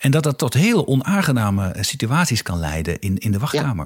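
Somewhat breathy in quality, the man talks at a medium pitch. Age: 40s. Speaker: podcast host, strategy consultant and former politician. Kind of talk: interview conversation. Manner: hesitant, repeats words.

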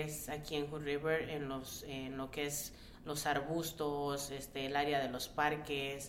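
The speaker has a Mexican accent and talks at a fairly slow pace. Noticeable background noise can be heard. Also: woman. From Mexico City and Tabasco, Mexico. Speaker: care provider. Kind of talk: radio roundtable discussion. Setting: radio studio.

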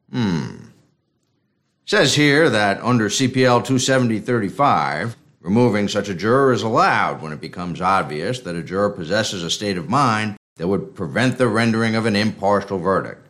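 This man has an unremarkable speaking voice with a fairly low pitch. He speaks at a moderate pace with lively intonation. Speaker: noir narrator and detective character. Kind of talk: noir parody narration, dramatized. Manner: wry, gravelly film-noir delivery.

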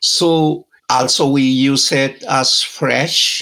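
A man is speaking. His pitch sits fairly high. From Peru, Andes. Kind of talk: interview.

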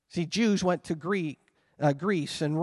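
Heard over a quiet background, a man with a high pitch talks with fairly even intonation. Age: 50s. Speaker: pastor. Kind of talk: sermon. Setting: church.

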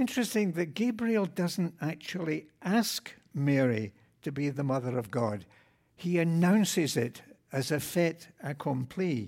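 A man with a fairly high pitch makes very wide pitch swings in a very clean recording with a silent background. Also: fairly slow pace. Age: 80s+. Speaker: deacon. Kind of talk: sermon. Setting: church.

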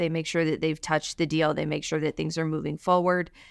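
A woman with an American accent speaks at a fairly low pitch, with vocal fry. The recording is very clean and dry, close with no echo and a silent background. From Alabama, US South. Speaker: real estate attorney. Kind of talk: interview.

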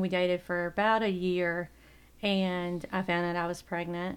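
A woman with a Southern US accent speaks at a very slow pace and medium pitch on a very clean recording with a silent background. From South Carolina, US South. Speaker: church member. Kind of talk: testimony.

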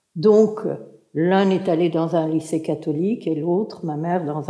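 In a room with audible echo, a woman speaks very slowly at a fairly low pitch, her tone dark and mellow and her intonation lively. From Turkey, Istanbul. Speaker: writer and translator. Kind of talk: public talk at a literary event. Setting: stage with audience.

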